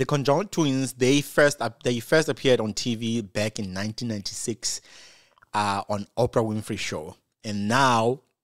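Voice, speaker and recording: A man speaks at a fairly slow pace with ordinary pitch variation, his voice dry with no echo against a quiet background. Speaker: online commentator. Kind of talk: commentary.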